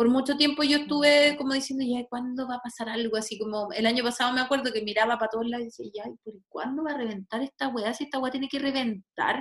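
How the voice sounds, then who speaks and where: A woman with a Chilean accent speaks at a very fast pace and a high pitch. Her intonation is fairly even, and she barely pauses. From Chile, Santiago. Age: 30s. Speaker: astrologer and sociologist. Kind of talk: casual chat. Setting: video call.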